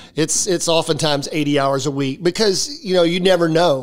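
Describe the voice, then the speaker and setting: A man talks with noticeable noise in the background. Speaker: campus pastor, former coach. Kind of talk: casual podcast conversation. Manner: halting, repeats words.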